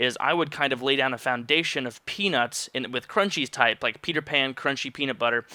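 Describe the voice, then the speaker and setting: Speaking at a fairly quick pace with hardly any pauses, a man has a medium pitch, ordinary pitch variation, and an animated, bright, sharp tone. The recording is very clean, with a silent background. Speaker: youtuber. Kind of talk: casual commentary vlog. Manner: stuttering.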